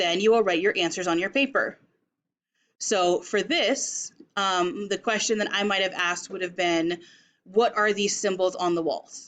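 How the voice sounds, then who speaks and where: In an American accent, a woman talks at a moderate pace with medium pitch and ordinary pitch variation, an unremarkable speaking voice against a quiet background. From Las Vegas, US. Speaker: teacher. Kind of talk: tutorial.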